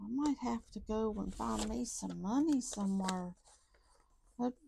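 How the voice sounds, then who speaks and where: Her tone is dark and mellow. This woman's voice has a somewhat breathy quality. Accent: Southern US. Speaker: budgeting YouTuber. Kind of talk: casual vlog talk to viewers. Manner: counting aloud, chatty.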